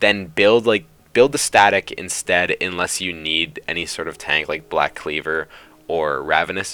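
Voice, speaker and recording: A man with a very deep, low voice and a bright, sharp tone. He talks at a moderate pace with ordinary pitch variation. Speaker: gaming youtuber. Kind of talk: gameplay commentary tutorial.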